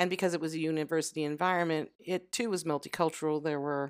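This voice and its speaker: The speaker has an American accent. The recording is very clean, with a silent background. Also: woman. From US South, Louisiana. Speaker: mother of the host, expatriate. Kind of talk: casual interview.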